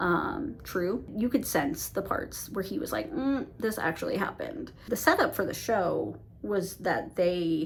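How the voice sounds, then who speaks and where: A woman mumbles at a fairly slow pace and medium pitch, with hardly any pauses. Her pitch swings very widely over noticeable background noise. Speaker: book reviewer. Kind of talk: casual monthly book review vlog. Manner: mumbling, self-admitted; casual with many fillers.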